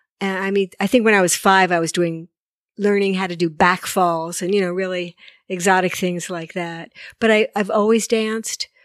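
A woman of medium pitch talks at a moderate pace in monotone, flat intonation, with a dry, close sound with no echo on a very clean recording with a silent background. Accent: American. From New Jersey. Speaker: choreographer. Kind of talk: interview. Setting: in her home.

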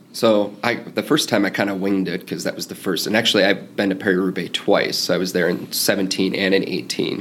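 With an American accent and an unremarkable speaking voice, a man talks at a fairly quick pace with hardly any pauses, a fairly low pitch and ordinary pitch variation. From US Midwest. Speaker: cycling fan and traveler. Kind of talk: casual interview.

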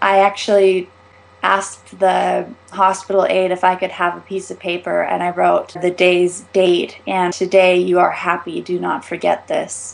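A woman speaks fairly slowly while noticeable noise fills the background. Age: 20s. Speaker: author. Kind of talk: reading aloud.

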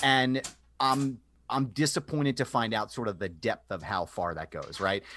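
Recorded very cleanly against a silent background, a man of medium pitch talks with lively intonation and vocal fry. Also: moderate pace. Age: 30s. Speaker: podcast host. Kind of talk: casual interview.

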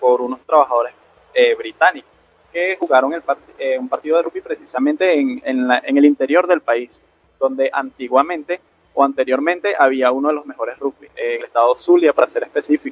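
In a dry, close sound with no echo, this man uses a plain, everyday voice pitched fairly high, varying pitch in the usual way. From Venezuela, Aragua state. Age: 20s. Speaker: rugby referee. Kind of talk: interview.

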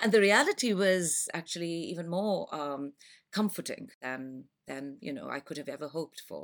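Speaking in a Pakistani accent, a woman has a fairly low pitch and lively intonation. Her loudness swings widely. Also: moderate pace. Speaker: school parent. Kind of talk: podcast interview.

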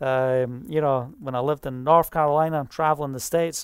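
Speaking in a Scottish accent, a woman keeps a moderate pace. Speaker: preacher. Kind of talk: sermon. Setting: online video broadcast. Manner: animated.

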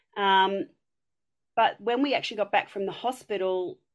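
A woman with a strong Australian accent, medium pitch and a moderate pace, against a quiet background. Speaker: community member. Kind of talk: casual chat.

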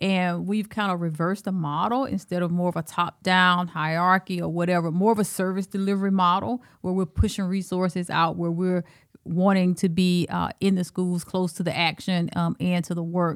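A woman with an Alabama accent speaks in a fairly low pitch and a monotone, flat intonation on a very clean recording with a silent background. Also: moderate pace. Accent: Southern US, Alabama. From Alabama, US South. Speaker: school superintendent. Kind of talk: casual interview.

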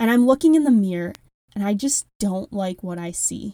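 A woman with a strong Midwestern accent speaks at medium pitch in a dark, mellow tone with lively intonation, the sound dry and close with no echo. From Wisconsin. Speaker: health coach podcast host. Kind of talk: solo podcast monologue.

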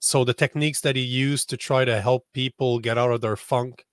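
Monotone, flat intonation comes through a very clean recording with a silent background and a dry, close sound with no echo. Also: man. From Canada. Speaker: social media strategist. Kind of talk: interview.

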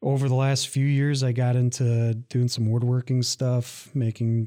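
Spoken fairly slowly in an Upper Midwest accent, the voice has a dark, mellow tone and flat, monotone intonation, with a dry, close sound free of echo on a very clean recording with a silent background. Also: man. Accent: Upper Midwest American. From Michigan, Lansing area. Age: 30s. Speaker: college veterans services director, army veteran. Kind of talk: casual interview.

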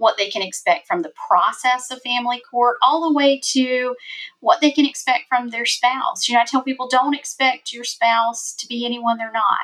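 A woman speaks at a high pitch with a South Carolina accent. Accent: Southern US (South Carolina). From South Carolina, US South. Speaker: family court lawyer. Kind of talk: casual interview.

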